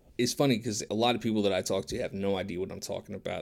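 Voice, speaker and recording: A man with a fairly low pitch at a very fast pace, on a very clean recording with a silent background. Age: 30s. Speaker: podcast co-host. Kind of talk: casual chat.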